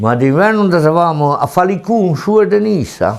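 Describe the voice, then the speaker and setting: Speaking at a very slow pace, a man with a Ligurian accent uses lively intonation. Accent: Ligurian dialect of Tende. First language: Tende Ligurian dialect (speaking French). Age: 70s. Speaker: retired goat and sheep herder. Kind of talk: dialect interview. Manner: halting.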